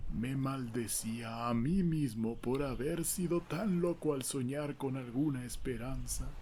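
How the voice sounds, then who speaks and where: A soft-spoken man at a very slow pace, dark and mellow in tone, with ordinary pitch variation. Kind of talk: story reading. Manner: soft-spoken, slow.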